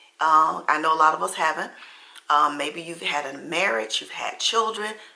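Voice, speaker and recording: Over noticeable background noise, a woman talks at a moderate pace. Her very deep, low voice has lively intonation. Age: 60s. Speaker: lifestyle vlogger. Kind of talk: casual chat. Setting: at home.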